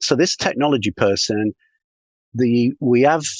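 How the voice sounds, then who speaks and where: With a British accent, a man talks at a moderate pace and with ordinary pitch variation, recorded dry and close with no echo. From UK. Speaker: sales consultant. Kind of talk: podcast interview.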